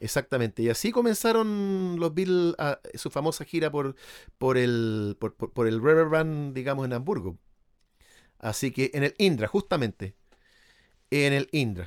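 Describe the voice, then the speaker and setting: Recorded very cleanly with a silent background and a dry, close sound with no echo, a man speaks at a fairly slow pace and a fairly high pitch with very wide pitch swings. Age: 50. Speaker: musician and Beatles expert. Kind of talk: casual chat.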